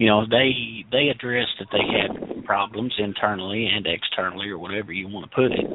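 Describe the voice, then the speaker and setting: Over noticeable background noise, a man with a Tennessee accent talks in a fairly low pitch. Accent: Tennessee Southern. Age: 30s. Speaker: caller. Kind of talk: casual call-in chat. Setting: phone call to radio show. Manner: repetitive, halting starts.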